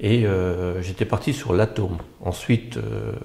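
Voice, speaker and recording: This man talks at a very slow pace with a fairly low pitch and ordinary pitch variation. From Belgium, Brussels. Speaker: architect, agency founder. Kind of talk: interview. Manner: halting, many hesitations.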